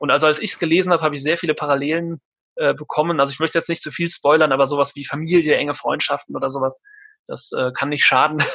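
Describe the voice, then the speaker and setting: Speaking at a very fast pace, a man keeps a fairly high pitch. His intonation stays monotone and flat. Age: 30s. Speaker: mediator. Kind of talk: interview.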